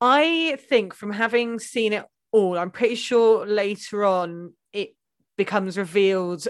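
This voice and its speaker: A woman with a plain, everyday voice at medium pitch, ordinary pitch variation, and a moderate pace. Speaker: guest advocating her chosen episode. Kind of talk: casual mock-trial chat.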